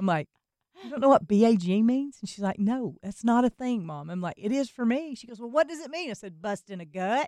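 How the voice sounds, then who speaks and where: A woman's dark, mellow tone at a fairly quick pace, with very wide pitch swings, big swings in loudness, and a dry, close sound with no echo. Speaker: radio show co-host. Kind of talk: casual chat.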